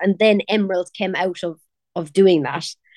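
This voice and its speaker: A woman speaks with a strong Cork accent. She talks at a fairly quick pace with fairly even intonation. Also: dry, close sound with no echo. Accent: strong Cork Irish. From Ireland (Cork). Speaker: pop singer. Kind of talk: casual interview. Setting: video call.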